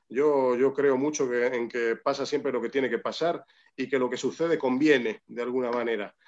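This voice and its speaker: A man of medium pitch speaks at a moderate pace with fairly even intonation. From Spain, Madrid. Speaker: orchestra conductor. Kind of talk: interview. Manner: halting, many repetitions.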